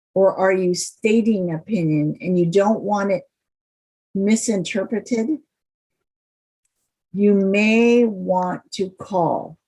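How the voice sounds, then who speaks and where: With an American accent, a woman speaks very slowly at a medium pitch, somewhat breathy and dark, mellow in tone, with ordinary pitch variation and long, frequent pauses. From Cleveland, Ohio. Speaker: consultant and workshop presenter. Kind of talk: lecture.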